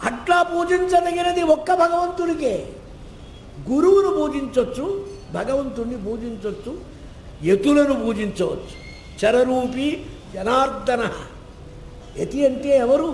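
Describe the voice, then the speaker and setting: Over noticeable background noise, a man talks at an extremely high pitch with lively intonation. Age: old. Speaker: Puranic scholar and religious discourse speaker. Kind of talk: religious discourse. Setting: temple hall before a live audience.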